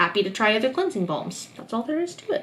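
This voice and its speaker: Noticeable background noise sits behind the voice. A woman speaks with very wide pitch swings. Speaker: beauty YouTuber. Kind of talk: product review vlog. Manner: casual, filler words.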